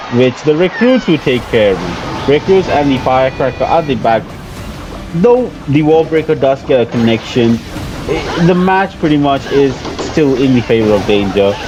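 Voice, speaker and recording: Music plays in the background as a man talks at a moderate pace with a fairly high pitch, lively intonation, and very even loudness. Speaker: gaming YouTuber. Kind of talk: gameplay commentary. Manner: many fillers.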